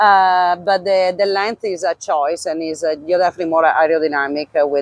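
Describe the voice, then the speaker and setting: With an Italian accent, a woman talks at a fairly quick pace in a fairly even intonation. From Italy. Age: 40s. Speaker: former pro cyclist and clothing brand owner. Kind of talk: casual interview. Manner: halting, many fillers.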